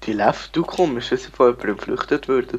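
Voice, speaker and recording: A man speaks at a fairly quick pace with a Swiss accent. His pitch is medium. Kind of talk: casual gameplay commentary.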